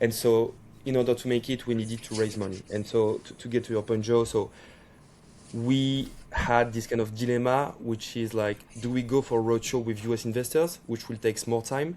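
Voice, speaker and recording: A man with a French accent speaks at a moderate pace, his medium-pitched voice flat and monotone. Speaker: startup CEO and co-founder. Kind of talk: podcast interview. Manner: halting, with frequent repetitions.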